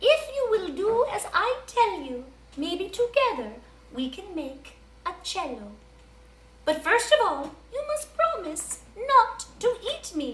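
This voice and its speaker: In a put-on character voice, a woman talks at a fairly slow pace with an extremely high pitch and very wide pitch swings. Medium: read story.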